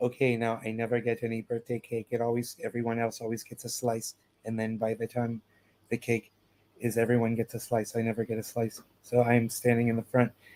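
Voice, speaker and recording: A man mumbles in a put-on character voice at a medium pitch. His pace is fairly quick and his intonation monotone and flat. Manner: mumbling, muttered.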